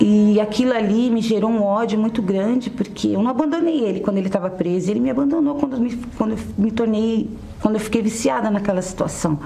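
At a fairly quick pace, a woman speaks in a fairly high voice with ordinary pitch variation and very even loudness, over noticeable background noise. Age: 30s. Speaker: businesswoman giving church testimony. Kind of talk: testimony.

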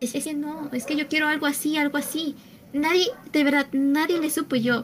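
A woman speaks with a Mexican accent. Her pitch is high. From Mexico City. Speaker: gamer and cosplayer. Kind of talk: casual chat.

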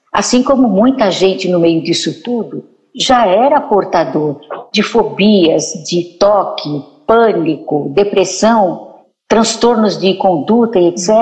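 Speaking at a very slow pace, a woman uses a medium pitch and lively intonation. Her loudness stays very even. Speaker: psychologist, writer and teacher. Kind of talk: talk show conversation. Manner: quiet at times.

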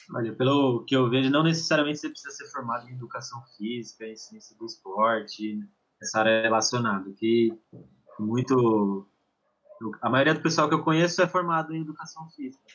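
A man with a plain, everyday voice talks at a fairly quick pace and a medium pitch. His loudness swings widely while his pitch varies in an ordinary way. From São Paulo, Brazil. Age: 20s. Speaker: football performance analyst. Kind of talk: casual chat.

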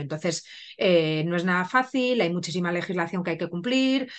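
A woman speaks at a moderate pace with a fairly low pitch, in an unremarkable speaking voice. The background is quiet. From Spain. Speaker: pharmacist and cosmetics brand founder. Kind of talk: interview.

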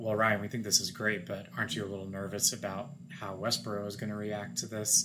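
With an American accent, a man talks at a moderate pace in a fairly low pitch, with noticeable background noise behind him. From Kansas, Wichita. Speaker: filmmaker. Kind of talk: casual chat. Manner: deadpan.

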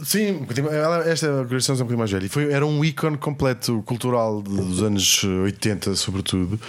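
Here a man with an ordinary speaking voice talks at a moderate pace and medium pitch, with lively intonation, very even loudness and hardly any pauses. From Portugal. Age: 40s. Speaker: comedian and writer. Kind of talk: casual chat.

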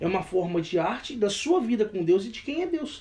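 High-pitched for a man, this voice has lively intonation. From Brazil, Minas Gerais. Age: 20s. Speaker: worship leader and rapper. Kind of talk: casual chat.

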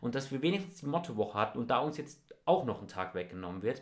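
Speaking at a very fast pace, this man has an animated tone. His pitch is medium. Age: young (19). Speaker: podcast co-host, school student. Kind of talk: casual chat.

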